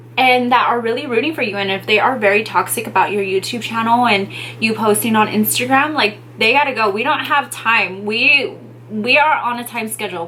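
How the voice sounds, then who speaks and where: A woman speaks at a fairly quick pace in a fairly high pitch with ordinary pitch variation, over noticeable background noise. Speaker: beauty and lifestyle YouTuber giving beginner tips. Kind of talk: casual vlog tutorial. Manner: quiet, shy delivery.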